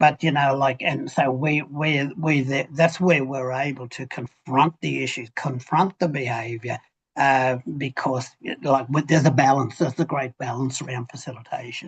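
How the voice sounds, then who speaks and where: A man with a fairly high pitch speaks at a moderate pace, somewhat breathy, with fairly even intonation. The sound is dry and close, with no echo. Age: 70s. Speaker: men's group facilitator. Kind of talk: panel discussion. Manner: halting, many repetitions.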